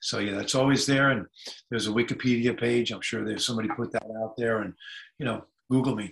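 A man's intonation stays fairly even as he speaks at a very fast pace. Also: quiet background. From California, US. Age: 70s. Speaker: musician; interview guest. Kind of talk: casual chat. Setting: video call. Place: home room. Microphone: video call.

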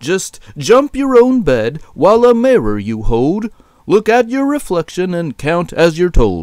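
Using a put-on character voice, a man speaks fairly slowly at a high pitch, with very wide pitch swings and a slightly mellow tone.

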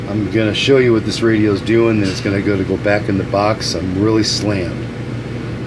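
A man talks at a moderate speed while noticeable noise sits behind him. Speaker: radio repair technician. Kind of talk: casual product demonstration talk. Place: workshop. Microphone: phone near.

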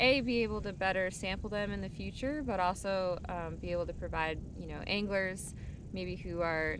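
A woman is heard with noticeable background noise. The sound is dry, with no echo. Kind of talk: interview answer. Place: boat.

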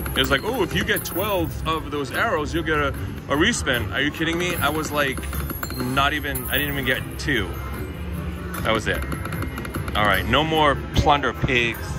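Against clear music in the background, a man speaks at a moderate pace with long, frequent pauses in a dry sound with no echo. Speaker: slot play vlogger. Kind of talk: casual vlog chat. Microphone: phone near.

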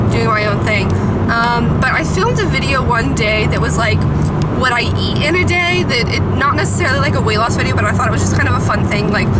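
Loud background noise fills the clip. Over it, a woman talks at a very fast pace. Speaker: vlogger. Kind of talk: casual vlog chat. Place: car. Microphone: phone near.

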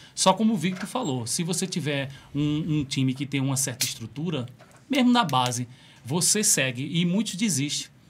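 Over light background noise, a man with a fairly high pitch and a somewhat breathy voice talks at a moderate pace with lively intonation. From Rio de Janeiro, Brazil. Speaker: podcast co-host. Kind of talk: casual interview chat. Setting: studio. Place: studio. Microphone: studio mic.

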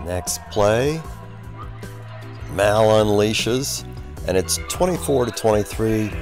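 A man's very deep, low-pitched voice in a dry sound with no echo, with clear music in the background. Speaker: team-side narrator. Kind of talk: commentary.

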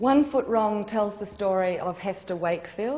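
A natural voice reading aloud

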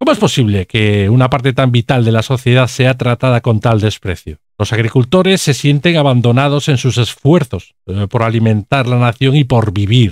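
In a very clean recording with a silent background and a dry, close sound with no echo, a man speaks at a moderate pace with medium pitch, ordinary pitch variation and very even loudness. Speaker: video commentator. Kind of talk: political commentary video, scripted-style monologue. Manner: indignant, sarcastic, politically charged; halting with frequent fillers.

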